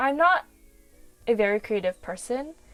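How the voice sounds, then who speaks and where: A woman's intonation is lively while music plays in the background. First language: not English. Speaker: webtoon artist and YouTuber. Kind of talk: casual vlog storytelling.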